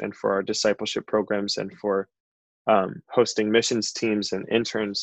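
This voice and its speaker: A man with an American accent, fairly low in pitch, at a moderate pace in a monotone, flat delivery, with dry, close sound, no echo and a quiet background. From Chicago. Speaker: worship leader. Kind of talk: casual chat.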